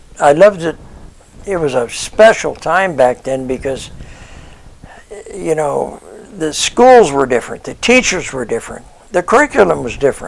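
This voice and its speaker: A man speaks with an American accent at a moderate pace, his fairly high voice making very wide pitch swings. He leaves long, frequent pauses. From US Pacific Northwest (Portland, Oregon / Vancouver, Washington). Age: 80s+. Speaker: retiree sharing life memories. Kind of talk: personal reminiscence monologue. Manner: casual, with frequent fillers (uh, um).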